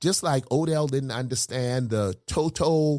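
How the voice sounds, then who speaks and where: A man's animated, medium-pitched voice in a very clean recording with a silent background. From South Carolina, US South. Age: 60s. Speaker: pastor. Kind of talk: casual chat.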